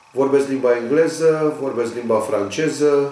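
At a fairly slow pace, a man speaks amid light background noise and audible room echo. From Romania. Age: 50s. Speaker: union leader and local election candidate; election candidate. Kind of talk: campaign video statement. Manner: formal. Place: office.

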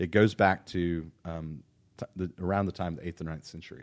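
Against a quiet background, a man with an American accent speaks at a moderate pace in a very deep, low pitch. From Irving, Texas area; Texas. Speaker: pastor. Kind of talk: casual chat. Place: studio. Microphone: studio mic.

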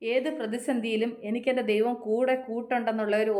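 A woman's fairly high voice rings with audible room echo. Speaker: motivational vlogger. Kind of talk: motivational talk. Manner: repetitive, conversational.

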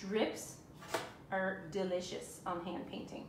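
A woman at a medium pitch, fairly even intonation, slow pace, audible room echo

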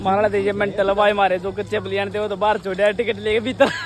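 Crowd noise fills the background. A man talks at a fairly slow pace. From Haryana, India. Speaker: international computer science student and vlogger. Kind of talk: casual vlog talk to camera. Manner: excited, upbeat. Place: street. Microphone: phone near.

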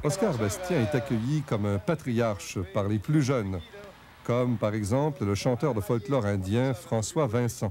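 Through noticeable background noise, a man speaks at a fairly slow pace with very even loudness and lively intonation. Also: medium pitch for a man. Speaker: documentary narrator. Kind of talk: TV documentary narration.

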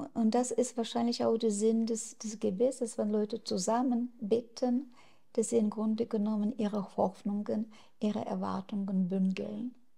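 At a moderate pace, a woman speaks in a fairly high pitch with monotone, flat intonation, a somewhat breathy quality and a dark, mellow tone. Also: quiet background. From Ukraine. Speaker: activist; interviewee. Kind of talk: interview. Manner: hesitant with fillers. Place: home room. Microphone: lapel.

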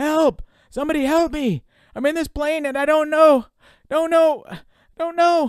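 Shouting in a high-pitched, put-on character voice, the speaker leaves long, frequent pauses. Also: moderate pace. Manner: screaming in panic.

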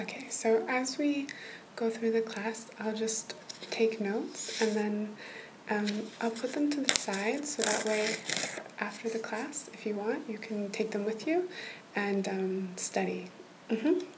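Noticeable background noise sits under a woman speaking fairly slowly with ordinary pitch variation and long, frequent pauses. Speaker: role-play language tutor. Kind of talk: soft-spoken role-play tutoring. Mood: gentle, reassuring. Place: home room. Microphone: webcam.

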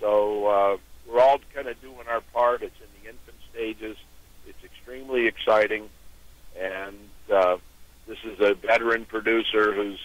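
In an American accent, a man speaks at a moderate pace and medium pitch with flat, monotone intonation, long and frequent pauses, and big swings in loudness, the sound dry with no echo. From New York and Pittsburgh. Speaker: auction company founder. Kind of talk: phone-in interview. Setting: phone call. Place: studio.

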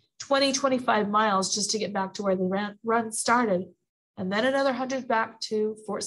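Someone is reading aloud in a natural voice, with ordinary pitch variation, against a quiet background.

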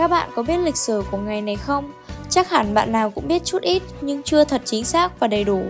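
With music in the background, a woman speaks at a fairly quick pace in a Northern Vietnamese accent. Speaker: radio announcer. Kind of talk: school radio broadcast.

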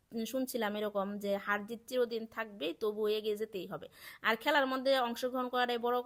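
A plain, everyday voice from a woman, fairly high in pitch, with fairly even intonation. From Bangladesh, Sherpur district. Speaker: vlogger, government employee. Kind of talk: casual vlog narration. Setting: outdoors at school sports field.

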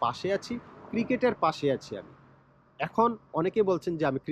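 Pitch swings very widely in this man's voice, recorded dry and close with no echo. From Bangladesh. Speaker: YouTuber, cricket commentator. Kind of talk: vlog monologue.

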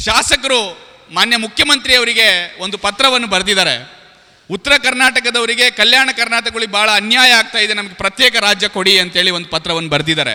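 A man's raised, projected voice, high in pitch with ordinary variation, against noticeable background noise. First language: Urdu (speaking Kannada). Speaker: public speaker. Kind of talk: public speech. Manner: formal.

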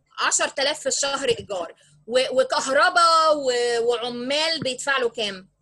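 In a raised, projected voice, a woman speaks at a fairly slow pace with an Egyptian accent, her high pitch carried by lively intonation. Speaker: business tutor. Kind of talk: online lesson. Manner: code-switching Arabic and English.

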